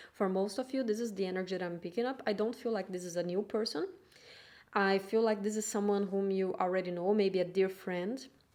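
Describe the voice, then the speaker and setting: A woman speaks with a non-native accent at a fairly quick pace. Her medium pitch and fairly even intonation come through on a very clean recording with a silent background. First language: not English. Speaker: tarot reader. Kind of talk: tarot reading monologue. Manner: halting.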